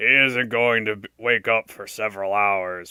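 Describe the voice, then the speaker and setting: A man's put-on character voice at a medium pitch, with fairly even intonation, a moderate pace and big swings in loudness. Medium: read story. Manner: blunt, gruff.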